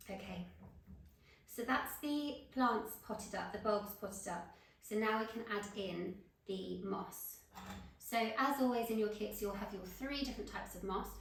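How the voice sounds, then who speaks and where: A woman with a British accent speaks at a moderate pace in a fairly high pitch, with ordinary pitch variation. Audible room echo and noticeable background noise are present. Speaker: florist tutor. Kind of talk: tutorial.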